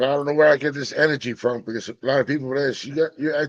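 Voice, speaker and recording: A man speaks in an ordinary speaking voice, his pitch fairly high with ordinary variation. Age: 50s. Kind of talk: casual chat.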